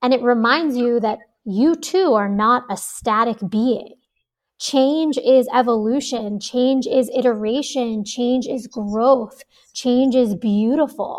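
Speaking at a very slow pace, a woman with a high pitch and an American accent uses ordinary pitch variation. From New York. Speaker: astrologer and meditation teacher. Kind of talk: interview.

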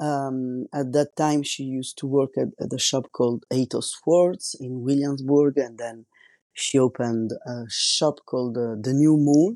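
A man with an Italian accent speaks at medium pitch and a fairly slow pace, his tone dark and mellow. His intonation is fairly even, the sound is dry and close with no echo, and the background is quiet. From Italy. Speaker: tattoo artist and podcast host. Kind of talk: solo podcast monologue. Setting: home recording without professional microphone.

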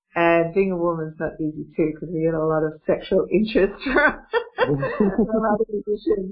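Noticeable background noise sits behind a woman speaking at medium pitch and a moderate pace. Her pitch varies in an ordinary way, and she hardly pauses. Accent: Australian. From Australia. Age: 50s. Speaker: singer and healer. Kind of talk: interview storytelling.

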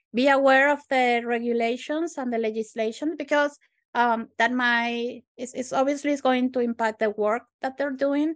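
Against a quiet background, a woman with a Spanish accent and a high voice speaks at a moderate pace with fairly even intonation and hardly any pauses. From Venezuela. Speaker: software tech lead. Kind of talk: podcast interview.

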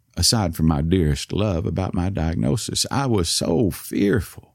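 With a Southern US accent, the man talks at a moderate pace. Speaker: storyteller with Parkinson's. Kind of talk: scripted personal narration. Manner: soft-spoken, slurring.

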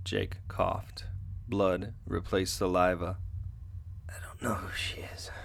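A man's very deep, low, somewhat breathy voice, monotone and flat, at a fairly slow pace with long, frequent pauses and big swings in loudness. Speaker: writer and performer of the story. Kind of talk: radio theatre dramatized fiction reading, narration with character voices. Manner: tense, hushed, dramatic narration, slow and deliberate; shifts between narrator and strained, emotional character voices.

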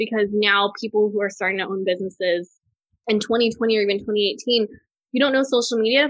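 A woman with an American accent in an unremarkable speaking voice, fairly high in pitch, at a fairly quick pace with fairly even intonation. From Texas. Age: 30s. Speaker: food and travel blogger. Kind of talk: interview.

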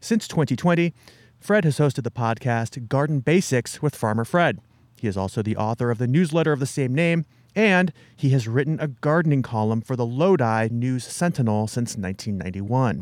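In a very clean recording with a silent background, a normal speaking voice moves at a fairly quick pace with lively intonation. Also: man, medium pitch for a man. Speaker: podcast host. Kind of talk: interview. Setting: outdoors at garden center.

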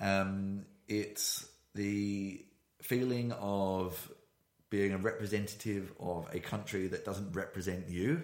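A man's fairly low voice in a British accent, at a very slow pace with fairly even intonation. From Britain. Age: 30s. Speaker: podcast host. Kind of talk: casual chat. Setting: studio, shared single microphone. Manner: halting.

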